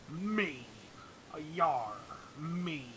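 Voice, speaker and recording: A put-on character voice from a man, fairly high in pitch, with clear background noise. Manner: self-centered, comedic.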